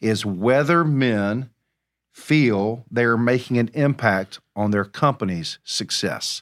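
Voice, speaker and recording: A man's medium-pitched, lively delivery in a normal speaking voice, on a very clean recording with a silent background. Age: 50s. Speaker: podcast host. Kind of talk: casual chat. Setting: studio.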